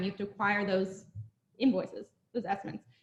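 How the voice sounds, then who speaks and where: With ordinary pitch variation, a woman speaks very fast. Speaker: real estate presenter. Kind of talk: presentation to a live audience.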